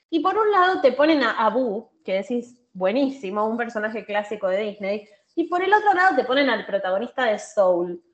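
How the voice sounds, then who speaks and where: This woman has a Rioplatense accent and a fairly high pitch that swings very widely. She keeps a moderate pace with hardly any pauses. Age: 30s. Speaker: social media content creator. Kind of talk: casual chat.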